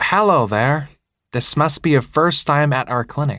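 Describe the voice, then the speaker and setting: Putting on a nasal character voice, a man talks at a fairly high pitch for a man, with ordinary pitch variation and a moderate pace. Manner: comforting, friendly.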